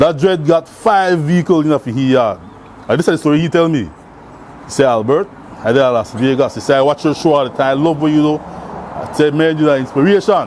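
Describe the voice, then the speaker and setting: A man's fairly high voice shows ordinary pitch variation, with noticeable background noise underneath. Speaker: community charity worker. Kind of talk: interview storytelling. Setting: cafe. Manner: animated.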